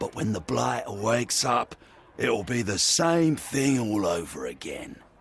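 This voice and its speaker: Using a put-on character voice, a man sounds gruff at a medium pitch and a moderate pace. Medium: video game. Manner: gruff, salty slang.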